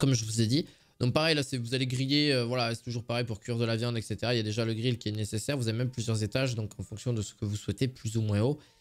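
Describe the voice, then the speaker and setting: A man speaks very fast in a southern French accent. His pitch is medium and his intonation fairly even. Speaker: product review youtuber. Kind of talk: product review video. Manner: hesitant, many fillers; casual, chatty.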